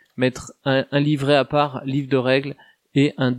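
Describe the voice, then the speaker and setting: The sound is dry and close, with no echo. A man speaks at medium pitch and a moderate pace in a monotone, flat intonation. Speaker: tabletop roleplaying guest. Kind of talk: casual chat.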